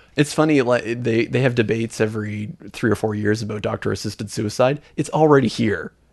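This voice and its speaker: With a Canadian accent, a man speaks in an unremarkable speaking voice at a medium pitch with ordinary pitch variation, moving at a fairly quick pace with hardly any pauses. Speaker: podcast host. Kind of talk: casual chat.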